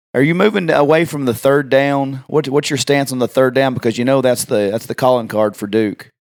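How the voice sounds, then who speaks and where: This man talks at a fairly quick pace with hardly any pauses, in an ordinary speaking voice. His pitch is medium, with ordinary pitch variation. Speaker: podcast co-host. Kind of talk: podcast host interviewing a guest.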